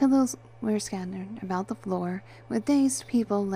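The speaker uses a natural reading voice. That voice carries the whole clip.

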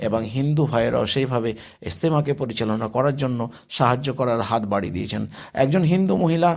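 Medium-pitched male voice with music playing behind it. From West Bengal, Hooghly district. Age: 50s. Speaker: vlogger. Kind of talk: vlog walkthrough.

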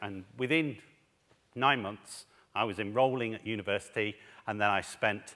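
A man talks at a moderate speed with a quiet background behind him. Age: 40s. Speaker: head teacher and education speaker. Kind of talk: conference talk. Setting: stage with audience. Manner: animated. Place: stage. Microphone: headset.

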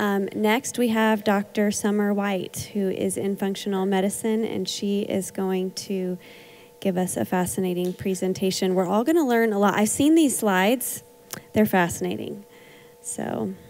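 A woman is speaking at a fairly slow pace. Her pitch shows ordinary variation. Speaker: counseling center founder; event host. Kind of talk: event introduction. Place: church.

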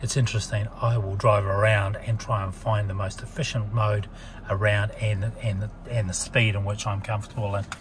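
A man's fairly low voice in a monotone, flat delivery at a fairly quick pace, with noticeable background noise. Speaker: car salesperson or owner explaining features. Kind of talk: tutorial. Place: car. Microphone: phone near.

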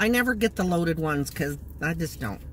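A woman talks at a fairly quick pace. The sound is dry with no echo, with light background noise. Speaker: food vlogger. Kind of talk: casual vlog chat. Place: car. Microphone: phone near.

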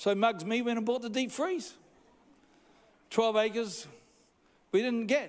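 A man speaks at an extremely high pitch. His pace is slow, with ordinary pitch variation.

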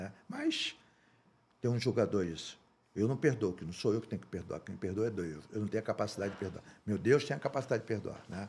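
Talking at a fairly quick pace, a man with a fairly low pitch and a somewhat breathy voice shows big swings in loudness and ordinary pitch variation. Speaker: former football club president. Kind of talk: casual interview chat.

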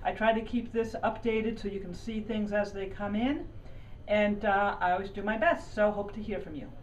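Against light background noise, a woman speaks at a moderate pace with ordinary pitch variation. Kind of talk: promotional walkthrough talk. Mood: friendly, enthusiastic. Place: shop. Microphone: camera far.

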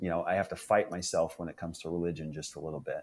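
This man has a very deep, low pitch. He speaks with a Midwestern American accent. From northeast Nebraska. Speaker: fitness group member. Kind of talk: casual interview.

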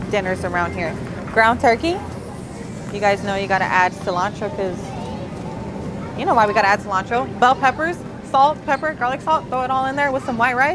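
A woman talks at a fairly quick pace over clear background music. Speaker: fitness influencer. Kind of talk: casual vlog chat. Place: shop.

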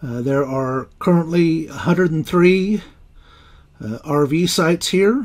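The background stays quiet. A man talks at a very slow pace. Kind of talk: casual tour commentary. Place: car. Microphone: phone near.

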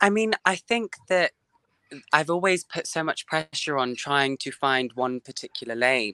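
The recording has a quiet background and a dry sound with no echo. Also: man, fairly slow pace. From England. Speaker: singer. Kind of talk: interview. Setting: video call. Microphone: video call.

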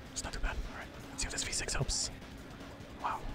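A man whispers while music plays in the background. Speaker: video game streamer. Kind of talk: casual talk to camera while playing a game. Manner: whispered, hushed.

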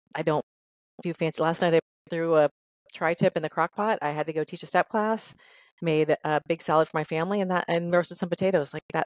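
At a fairly low pitch, a woman with an American accent speaks at a fairly quick pace in a monotone, flat intonation with a dry sound and no echo. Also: quiet background. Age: 50s. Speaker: fitness trainer. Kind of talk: interview. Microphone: headset.

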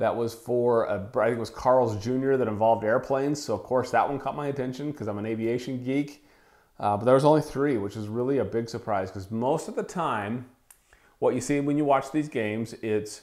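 Over a quiet background, the voice moves at a fairly quick pace with ordinary pitch variation. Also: man. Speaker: wellness podcaster. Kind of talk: solo podcast commentary. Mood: casual, amused. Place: home room. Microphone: lapel.

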